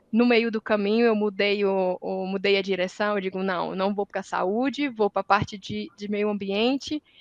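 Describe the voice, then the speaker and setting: Hardly pausing, a woman with a Ceará accent keeps a moderate pace and fairly even intonation. Her pitch is medium. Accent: Northeastern Brazilian (Ceará). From Northeast Brazil, Ceará. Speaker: environmental engineer, industry sustainability manager. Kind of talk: panel discussion. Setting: academic symposium round table.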